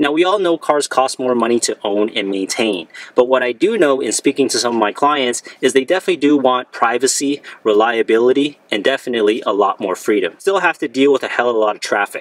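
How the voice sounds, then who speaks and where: The speech comes very fast, and the sound is dry with no echo. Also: man. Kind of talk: casual vlog commentary. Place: car. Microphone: phone near.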